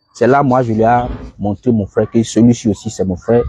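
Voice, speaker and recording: The tone is dark and mellow, with fairly even intonation. Delivery comes at a moderate pace. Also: man. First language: English (speaking French). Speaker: religious debater. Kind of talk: religious debate. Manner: halting.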